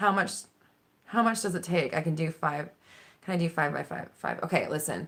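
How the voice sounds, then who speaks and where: With ordinary pitch variation, a woman with a fairly low voice speaks at a fairly quick pace, broken by long, frequent pauses. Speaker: manifestation coach. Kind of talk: live stream Q&A. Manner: direct; animated.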